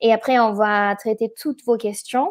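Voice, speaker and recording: With a slight German accent, a woman speaks at a fairly high pitch with ordinary pitch variation. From Germany. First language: German (speaking French). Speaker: event organizer and webinar host. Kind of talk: webinar presentation. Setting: online webinar. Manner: halting, many hesitations.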